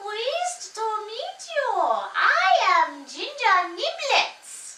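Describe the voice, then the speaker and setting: A woman puts on a character voice, extremely high in pitch. She speaks very slowly. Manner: polite, gracious.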